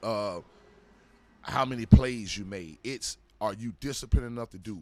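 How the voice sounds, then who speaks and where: A man with a Florida accent, medium in pitch, in an animated tone. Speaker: former pro football player. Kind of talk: casual interview storytelling.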